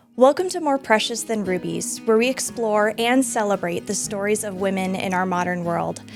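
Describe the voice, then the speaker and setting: Music plays behind a woman speaking at a medium pitch. She talks with hardly any pauses. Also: ordinary pitch variation, moderate pace. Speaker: podcast host. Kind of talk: podcast introduction.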